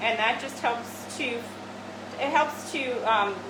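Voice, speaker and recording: A woman speaks at a fairly high pitch. The recording has audible room echo and noticeable background noise. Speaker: medical spa doctor doing a treatment demo. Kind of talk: live treatment demonstration. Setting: treatment room, virtual open house video. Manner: hesitant, many fillers; speaking loudly over laser noise.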